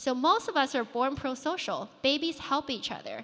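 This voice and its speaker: A woman's raised, projected voice in a Chinese accent, bright and sharp in tone, with fairly even intonation at a moderate pace. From China, moved to US at 14. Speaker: founder and conference speaker. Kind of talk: conference keynote talk. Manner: conversational with filler words.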